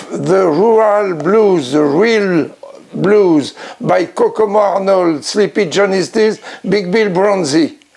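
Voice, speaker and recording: Over noticeable background noise, a man speaks very slowly in a high voice with a French accent. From France. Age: 90s. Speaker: blues collector and promoter. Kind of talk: acceptance speech. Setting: home record room. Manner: halting.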